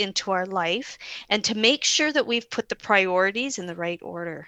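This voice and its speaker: A loud woman at medium pitch with a bright, sharp tone, fairly slow pace and ordinary pitch variation, in a dry, close sound with no echo and a quiet background. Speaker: podcast co-host. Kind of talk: casual chat. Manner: animated.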